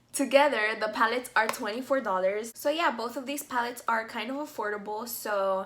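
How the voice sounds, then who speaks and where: Over noticeable background noise, a woman talks at a fairly quick pace in a high voice with ordinary pitch variation. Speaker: beauty vlogger. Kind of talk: makeup tutorial review. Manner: casual, chatty with fillers.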